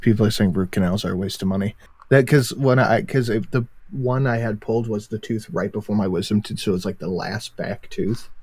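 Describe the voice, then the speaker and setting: A man with an American accent talks at a fairly quick pace. His fairly low voice is somewhat breathy. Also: ordinary pitch variation. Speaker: YouTuber guest on livestream. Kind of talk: casual chat.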